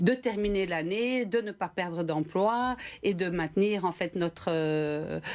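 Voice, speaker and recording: In a very clean recording with a silent background, the speaker talks with a Belgian accent. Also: woman. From Belgium. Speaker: company director. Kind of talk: TV interview. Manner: hesitant, many fillers.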